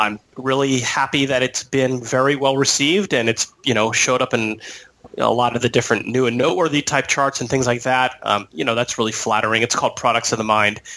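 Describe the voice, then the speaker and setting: A man with an American accent speaks at a fairly quick pace, his loudness very even. His intonation is fairly even, with noticeable background noise behind him. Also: medium pitch for a man. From San Diego, California. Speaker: attorney. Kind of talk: interview. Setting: Skype call.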